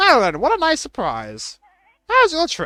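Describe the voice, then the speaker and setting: A put-on character voice, high-pitched, at a moderate pace. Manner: warm, caring.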